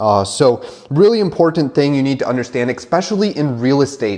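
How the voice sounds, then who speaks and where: A man with an American accent speaks at a fairly quick pace in an energetic tone. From Wisconsin, rural. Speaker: marketing trainer for real estate agents. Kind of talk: webinar presentation. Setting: live webinar. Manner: fast; filler-heavy, energetic.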